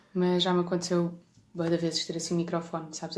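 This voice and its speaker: A woman talks at a very fast pace in a fairly low pitch, her intonation flat and monotone. Noticeable background noise runs behind her. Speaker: bass player in a rock band. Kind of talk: casual chat.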